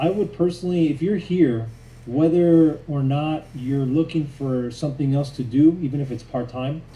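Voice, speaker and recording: A man's somewhat breathy voice, dark and mellow in tone, fairly high in pitch, with ordinary pitch variation and a moderate pace. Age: 30s. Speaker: network marketing distributor and real estate agent. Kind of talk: sales pitch. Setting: Zoom call and Facebook Live.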